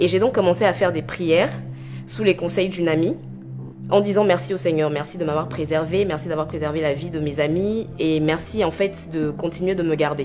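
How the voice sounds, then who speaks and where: A woman with a very deep, low pitch speaks at a fairly quick pace with ordinary pitch variation. Music plays in the background, and room echo is audible. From Ivory Coast (Abidjan), teen years in Normandy, France. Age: 20s. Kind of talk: testimony.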